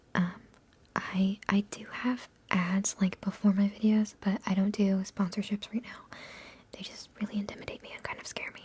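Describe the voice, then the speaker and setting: A woman speaks at a moderate pace and medium pitch, with monotone, flat intonation. Her loudness swings widely, over noticeable background noise. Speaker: ASMR content creator. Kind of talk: ASMR livestream, casual talk to viewers. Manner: soft-spoken, whispery.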